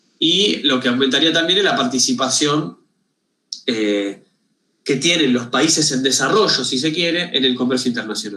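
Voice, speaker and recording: A man speaks fairly fast, his intonation lively. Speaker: university lecturer. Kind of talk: lecture. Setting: video call. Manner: halting, many repetitions.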